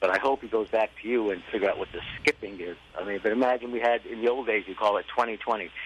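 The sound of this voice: A man talks at a fast pace with a fairly low pitch, ordinary pitch variation and a fairly bright tone.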